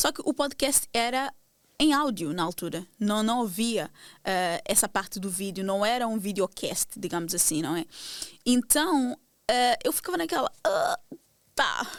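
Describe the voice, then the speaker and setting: Speaking at a fairly slow pace, a woman with a fairly high voice swings her pitch very widely on a very clean recording with a silent background. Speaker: podcast host. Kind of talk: casual monologue to audience. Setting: video podcast recording. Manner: direct, intense, motivated.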